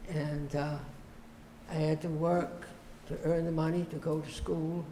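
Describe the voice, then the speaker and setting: A fairly high-pitched male voice, flat and monotone, at a fairly slow pace with audible room echo. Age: 90s. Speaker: retired pastor. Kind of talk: interview. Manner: halting.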